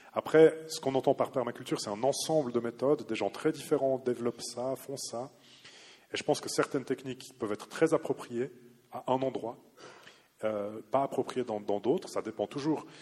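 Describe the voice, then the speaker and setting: A man with a dark, mellow tone speaks using ordinary pitch variation. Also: medium pitch for a man, moderate pace. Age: 30s. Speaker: law researcher on agricultural policy. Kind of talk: lecture; audience Q&A.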